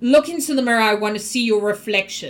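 A woman uses a booming, put-on character voice, pitched fairly high. She talks at a very fast pace with ordinary pitch variation. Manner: commanding.

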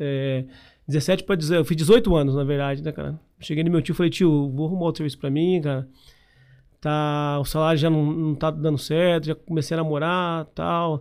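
At a moderate pace, a man talks in a plain, everyday voice with fairly high pitch. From Paraná, Brazil (Londrina area). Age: 30s. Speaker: entrepreneur and franchise founder. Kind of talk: interview. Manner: casual, filler-heavy speech.

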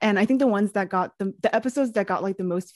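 A woman with an American accent, very fast delivery and lively intonation, in a dry, close recording with no echo. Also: quiet background. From New York City. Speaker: podcast co-host, curriculum developer. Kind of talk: casual interview.

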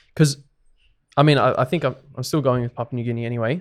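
Here is a man with an Australian accent. He talks at a fairly quick pace, keeping his intonation fairly even. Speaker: podcast co-host, rugby league fan. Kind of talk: casual chat.

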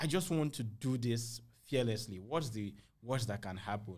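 The delivery is energetic and somewhat breathy. It comes with a Nigerian accent. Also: man. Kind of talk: interview.

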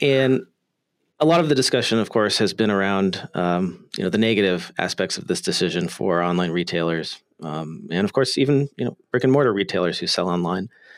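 With a normal speaking voice, a man talks at a fairly quick pace, his fairly low pitch carried by lively intonation. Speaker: podcast host. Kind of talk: casual interview.

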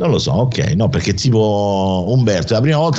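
Very wide pitch swings in a man's voice of medium pitch. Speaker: radio host. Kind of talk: casual chat.

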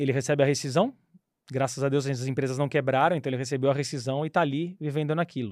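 A man talks very fast in a fairly high voice. His intonation stays fairly even. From São Paulo state, Brazil (São Bernardo do Campo). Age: 40s. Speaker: former airline pilot and investment advisor. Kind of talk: casual interview.

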